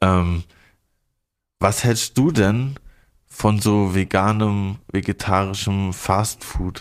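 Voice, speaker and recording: A man speaks very slowly at a fairly low pitch, with fairly even intonation, very even loudness and long, frequent pauses. The recording is very clean with a silent background. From southern Baden, near Basel. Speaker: podcast host. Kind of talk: casual chat. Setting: studio.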